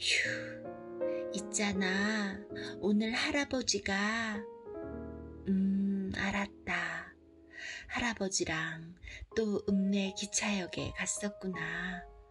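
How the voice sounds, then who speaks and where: Soft-spoken and very slow, a woman talks with long, frequent pauses and very even loudness while music plays in the background. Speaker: picture book storyteller. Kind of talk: reading aloud.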